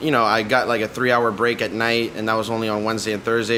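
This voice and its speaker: In a Miami accent, a man with a medium pitch speaks at a very fast pace over noticeable background noise. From Miami, Florida. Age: 20s. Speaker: podcast host and cigar shop worker. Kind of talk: casual monologue. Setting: cigar shop.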